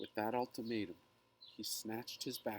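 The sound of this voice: Someone reads in an unforced voice.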